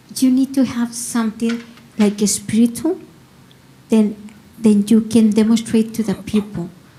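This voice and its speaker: In a Spanish accent, a woman speaks at a moderate pace and fairly high pitch with fairly even intonation and long, frequent pauses, against noticeable background noise. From Mexico. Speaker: workshop participant. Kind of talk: casual sharing. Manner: halting.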